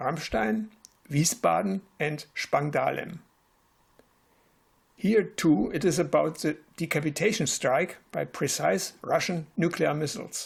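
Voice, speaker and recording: At a very slow pace, a man with a German accent speaks at a fairly high pitch. His intonation is lively, and vocal fry runs through his voice. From Germany, West Berlin. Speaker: retired physics professor. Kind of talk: prepared presentation. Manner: formal.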